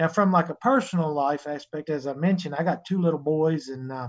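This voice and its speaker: In a coastal North Carolina accent, the speaker moves at a fairly quick pace with ordinary pitch variation. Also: man. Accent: Southern US, North Carolina coastal. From North Carolina, US South. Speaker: sheep breeder and livestock show judge. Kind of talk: casual interview chat.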